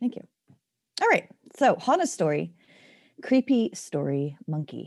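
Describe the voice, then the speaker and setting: A woman speaks at a fairly slow pace with vocal fry. Her fairly high pitch moves in very wide swings. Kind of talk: casual chat. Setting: in bed in darkened room.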